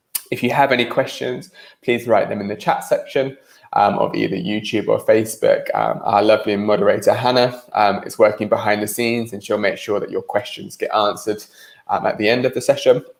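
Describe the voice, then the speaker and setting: A man with a British accent at a fairly quick pace. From UK. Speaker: startup organization executive, webinar presenter. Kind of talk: online presentation. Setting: online meeting, livestream. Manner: casual, with frequent filler ums.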